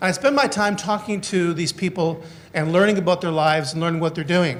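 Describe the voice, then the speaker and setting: A man with a high voice speaks at a fairly quick pace. His pitch varies in an ordinary way. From northern Canada. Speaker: criminologist and former police officer. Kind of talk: conference lecture. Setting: conference hall with audience. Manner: fast when excited.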